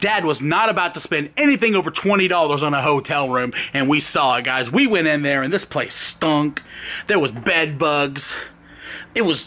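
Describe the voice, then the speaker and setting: Ordinary pitch movement runs through this moderate-paced speech. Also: man. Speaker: vlogger. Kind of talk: casual vlog storytelling. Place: street. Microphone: phone near.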